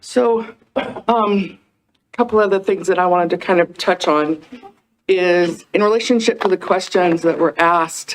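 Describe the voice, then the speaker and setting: A soft-spoken woman with a medium pitch talks at a moderate pace, leaving long, frequent pauses. Her loudness stays very even and her pitch varies in an ordinary way. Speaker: city planning staff. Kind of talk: public meeting presentation. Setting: council meeting room with audience. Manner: soft-spoken, hard to hear at first.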